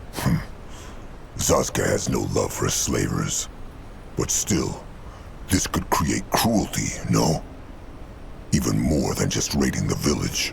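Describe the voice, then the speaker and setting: Using a put-on character voice, a man talks fairly slowly with long, frequent pauses over clear background noise. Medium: video game. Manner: broken grammar, blunt.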